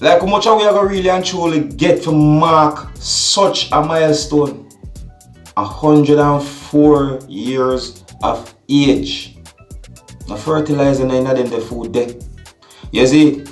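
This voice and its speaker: With music in the background, the speaker talks at a very slow pace in a Jamaican accent, with ordinary pitch variation. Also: man, fairly high pitch for a man. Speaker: vlogger. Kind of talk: vlog commentary.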